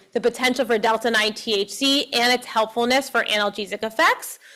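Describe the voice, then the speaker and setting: A woman speaks loudly. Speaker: professor and cannabis researcher. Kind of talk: lecture.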